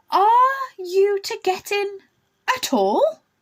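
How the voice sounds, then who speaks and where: A woman uses a put-on character voice at an extremely high pitch. It sounds squeaky. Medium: read story. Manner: sullen, slow, deadpan.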